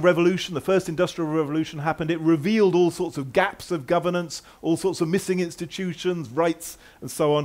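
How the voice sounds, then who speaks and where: A high-pitched man at a fairly quick pace, with ordinary pitch variation, in a very clean recording with a silent background. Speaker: conference speaker. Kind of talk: conference talk. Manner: fast.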